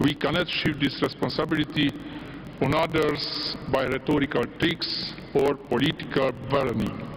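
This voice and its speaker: A man speaks with a fairly high pitch, flat monotone intonation and very even loudness. His pace is moderate, and there is noticeable background noise. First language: Hungarian. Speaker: politician. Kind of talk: political speech. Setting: stage at party congress.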